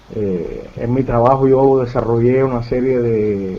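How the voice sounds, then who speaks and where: Audible room echo surrounds a man's medium-pitched voice with fairly even intonation. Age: 60s. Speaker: UFO researcher. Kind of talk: interview. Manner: halting.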